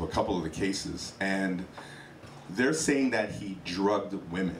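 Amid light background noise and audible room echo, a man speaks at a fairly low pitch. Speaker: hot topics panelist. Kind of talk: casual chat. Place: stage. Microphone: handheld.

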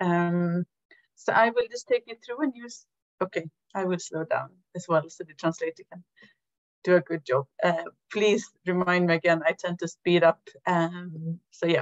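Very slow delivery with long, frequent pauses, big swings in loudness, a quiet background and a dry sound with no echo. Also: woman, fairly low pitch for a woman, ordinary pitch variation. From Sweden. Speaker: health foundation director; presenter. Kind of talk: webinar presentation. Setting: video call. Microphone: video call.

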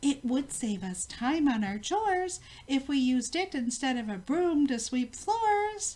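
Her pitch sits high and leaps across a very wide range as a woman performs in a put-on character voice. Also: moderate pace. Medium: read story. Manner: fussy, motherly.

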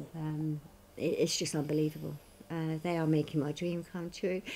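This woman has a very deep, low pitch and a monotone, flat intonation. Light background noise sits behind her. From southern England. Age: 60s. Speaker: cancer patient fundraising; interviewee. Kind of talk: interview. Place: home room.

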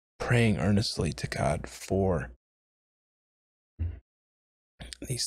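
With vocal fry and a fairly low pitch, a man speaks very slowly in a dry sound with no echo and a quiet background. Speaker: home bible study vlogger. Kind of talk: casual bible study talk. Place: home room. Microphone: studio mic.

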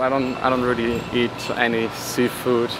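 A man is heard in a dry recording with no echo and noticeable background noise. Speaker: travel vlogger. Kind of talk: casual vlog chat. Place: street. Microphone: phone near.

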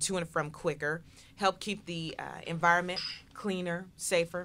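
A woman's fairly low voice with a bright, sharp tone. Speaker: political talk show host. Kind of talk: casual chat. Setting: studio. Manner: animated.

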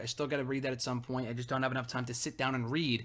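A man speaks over a quiet background. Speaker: video blogger. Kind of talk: casual vlog chat, book review. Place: home room. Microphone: webcam.

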